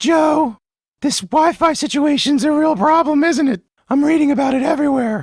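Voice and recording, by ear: Using a put-on character voice, a man speaks at a moderate pace in an extremely high pitch.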